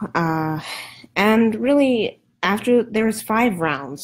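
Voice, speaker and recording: In a very clean recording with a silent background, a woman speaks at a fairly slow pace with very wide pitch swings. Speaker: political commentator livestreamer. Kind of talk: casual livestream commentary. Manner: soft-spoken; hesitant, many fillers.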